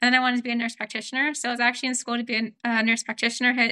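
A woman with an American accent talks at a high pitch in a bright, sharp tone with monotone, flat intonation. The recording is very clean, with a silent background and a dry, close sound with no echo. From US West Coast, Oregon. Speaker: volunteer coordinator. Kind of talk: casual chat.

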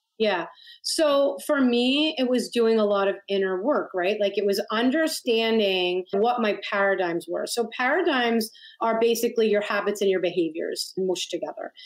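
Keeping her loudness very even at a moderate pace, a woman speaks in a fairly high voice with lively intonation. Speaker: manifestation coach and author. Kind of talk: casual interview chat.

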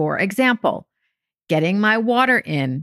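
On a very clean recording with a silent background and a dry, close sound with no echo, a woman with an American accent and vocal fry speaks with very wide pitch swings. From France and US. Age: 50s. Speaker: podcast host and weight loss coach. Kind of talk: solo podcast monologue.

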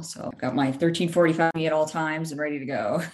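A woman talks with fairly even intonation. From Brazil. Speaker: medical device solutions engineer. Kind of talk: interview.

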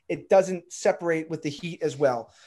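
A man with an American accent speaks at a fairly quick pace in a high pitch. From Baltimore, Maryland. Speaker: real estate broker and SEO coach. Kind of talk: casual interview chat.

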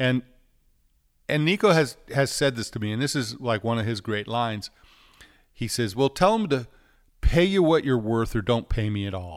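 A medium-pitched man with an American accent at a moderate pace, long, frequent pauses throughout, on a very clean recording with a silent background. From New York City. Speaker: record producer and recording engineer. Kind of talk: casual interview chat.

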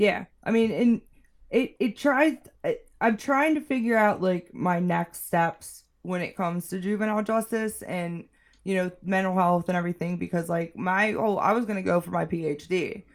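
On a very clean recording with a silent background, a woman with an American accent talks at a moderate pace and medium pitch with ordinary pitch variation, in a plain, everyday voice. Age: 30s. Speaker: juvenile justice clinician. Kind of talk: casual chat.

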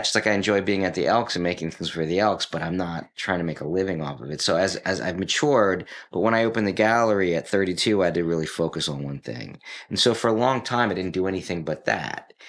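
A man with an American accent speaks at a very fast pace in a very deep, low pitch with ordinary pitch variation. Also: hardly any pauses. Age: 50s. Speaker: art dealer and drummer. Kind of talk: casual chat.

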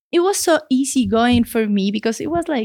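A woman with a Mexican accent at a moderate pace, with very wide pitch swings. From Mexico City, Mexico. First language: Spanish. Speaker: veterinarian. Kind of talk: casual interview. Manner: laughs often.

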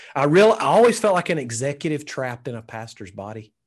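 Against a quiet background, a man with a Southern US accent talks at a very fast pace. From Alabama, US South. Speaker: pastor and leadership coach. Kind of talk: interview.

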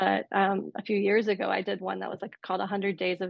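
A woman's voice at a medium pitch. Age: 40s. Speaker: therapist and midlife coach, author. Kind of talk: casual interview chat. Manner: frequent filler words.

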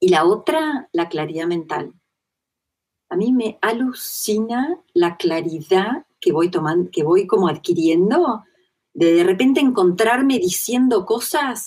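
A very slow-paced woman's voice at medium pitch, with very wide swings in pitch. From Argentina. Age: 40s. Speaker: interviewee sharing personal spiritual experience. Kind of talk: testimony in interview.

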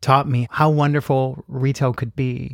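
In a very clean recording with a silent background and a dry, close sound with no echo, a man with an American accent and a medium pitch speaks at a fairly slow pace in an ordinary speaking voice. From South Texas (Robstown, near Corpus Christi). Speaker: retail training executive. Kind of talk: podcast interview. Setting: Airstream trailer by a lake.

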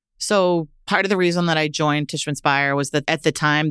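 A woman with a very deep, low pitch talks at a fairly quick pace with an American accent and fairly even intonation. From Massachusetts (Lowell). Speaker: real estate executive. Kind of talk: interview.

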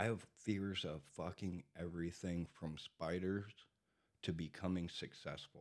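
A man talks at a very slow pace. His pitch is very deep and low. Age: 40s. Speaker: recovering addict sharing his story. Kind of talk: casual chat. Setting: studio.

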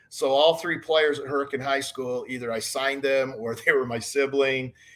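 With an American accent, a man talks at a fairly high pitch and with fairly even intonation. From southern Utah, US. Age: 50s. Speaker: baseball scouting director, former pro scout and player. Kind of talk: casual interview chat.

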